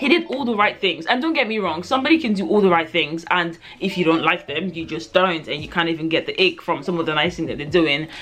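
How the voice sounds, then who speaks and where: A woman races along at a very fast pace with lively intonation and hardly any pauses, over noticeable background noise. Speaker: book reviewer. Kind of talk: casual chat. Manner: hesitant, many fillers.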